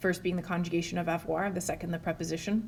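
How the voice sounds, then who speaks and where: Somewhat breathy, the voice keeps its intonation fairly even. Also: woman. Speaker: French teacher. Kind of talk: language lesson to camera.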